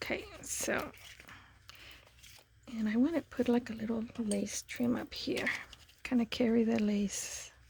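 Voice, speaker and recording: Soft-spoken, a woman talks at a fairly slow pace with a fairly high pitch. She leaves long, frequent pauses, and her pitch variation is ordinary. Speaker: papercraft YouTuber. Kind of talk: crafting tutorial. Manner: casual, hesitant with fillers.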